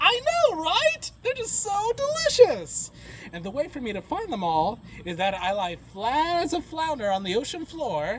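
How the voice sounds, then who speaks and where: Amid clear background noise, a man puts on a cartoonish character voice at an extremely high pitch, talking at a moderate pace. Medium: puppet show. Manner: upbeat, chatty.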